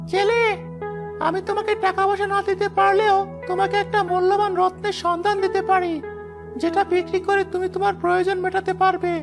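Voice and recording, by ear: A cartoonish character voice at an extremely high pitch sounds over loud music in the background. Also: moderate pace.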